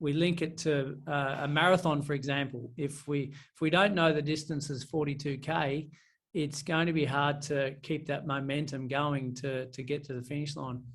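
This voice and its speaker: A somewhat breathy man's voice, fairly high, with monotone, flat intonation, a moderate pace and audible room echo. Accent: Australian. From country Victoria, Australia. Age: 30s. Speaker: property and finance coach. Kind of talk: podcast interview. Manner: hesitant, many fillers.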